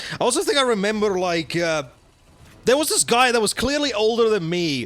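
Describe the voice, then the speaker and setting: A man talking fairly quickly, with very wide pitch swings. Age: 20s. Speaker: gaming streamer. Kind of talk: gameplay commentary. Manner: casual, rambling with false starts.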